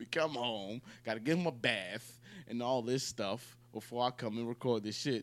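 At a moderate pace, a man talks in a normal speaking voice with medium pitch and ordinary pitch variation. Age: 20s. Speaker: podcast co-host. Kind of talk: casual chat.

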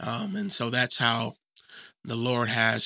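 A man's medium-pitched voice with vocal fry and a bright, sharp tone, at a fairly slow pace with ordinary pitch variation, in a dry, close sound with no echo. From Chicago area, US Midwest. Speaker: Bible teacher. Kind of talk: teaching interview. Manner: halting, many fillers.

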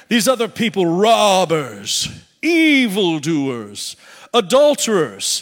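A man's put-on character voice, high-pitched and very slow, in a very clean recording with a silent background. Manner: sneering, villainous.

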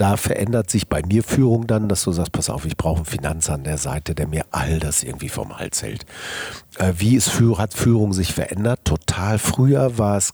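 Over noticeable background noise, a man with a very deep, low voice speaks at a moderate pace with very wide pitch swings. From Ruhr area, Germany. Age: 50s. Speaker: business executive and agency founder. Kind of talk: interview. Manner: casual, colloquial with many fillers.

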